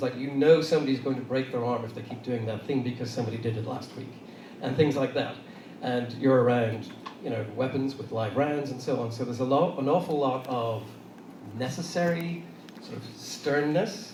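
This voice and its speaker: Speaking fairly quickly with an Irish accent, a man uses a medium pitch and ordinary pitch variation amid noticeable background noise and audible room echo. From Ireland, Dublin. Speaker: designer and design manager, panelist. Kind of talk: panel talk.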